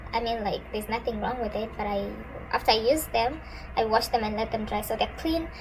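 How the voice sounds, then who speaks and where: Noticeable background noise behind a woman's fairly high-pitched voice, fairly quick in pace and ordinary in pitch variation. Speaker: hair care vlogger. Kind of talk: tutorial. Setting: filming at home by a sunny window. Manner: sped up playback.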